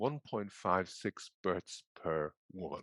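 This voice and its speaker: With an Irish accent, a man speaks at a fairly slow pace, the sound dry and close with no echo over a quiet background. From Ireland. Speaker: psychiatry professor. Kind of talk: presentation.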